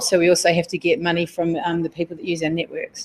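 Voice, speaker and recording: A woman at medium pitch and a very fast pace, with noticeable background noise. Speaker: technology executive at a research network. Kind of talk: conference talk. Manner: loud.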